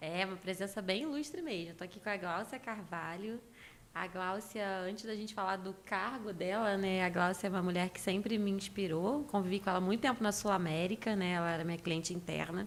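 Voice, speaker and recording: This woman talks at a fairly quick pace. She speaks with a Carioca accent. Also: medium pitch for a woman, ordinary pitch variation. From Rio de Janeiro, Brazil. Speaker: leadership consultant. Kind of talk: podcast interview. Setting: office studio.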